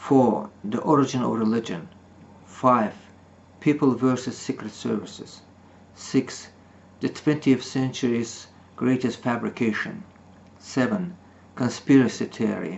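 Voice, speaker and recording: A man with a non-native accent and vocal fry speaks at a fairly slow pace and medium pitch, using lively intonation and long, frequent pauses. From Soviet Union. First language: not English. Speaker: author. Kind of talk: reading aloud. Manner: halting.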